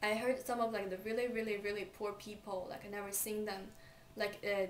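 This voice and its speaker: A woman's medium-pitched voice, with fairly even intonation, comes through amid noticeable background noise and audible room echo. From China. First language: Chinese. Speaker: student. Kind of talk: vlog monologue. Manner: halting, many fillers.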